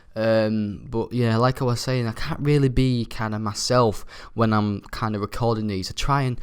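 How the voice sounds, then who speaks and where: Speaking quietly in a Yorkshire accent, a man with a medium pitch keeps a moderate pace and fairly even intonation on a very clean recording with a silent background. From Yorkshire, near Hull. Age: young. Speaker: gaming YouTuber. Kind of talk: gameplay commentary. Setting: university flat. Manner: quiet, subdued.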